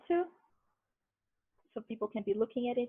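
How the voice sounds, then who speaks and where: A woman with a high pitch speaks with a Brazilian accent. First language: Portuguese. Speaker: linguistics researcher presenting a workshop. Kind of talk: tutorial. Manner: casual.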